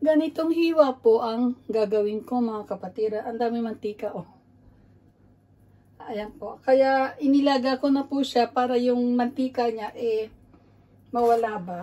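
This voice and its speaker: A woman with a dark, mellow tone speaks at a high pitch with ordinary pitch variation. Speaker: cooking vlogger. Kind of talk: cooking tutorial. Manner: halting.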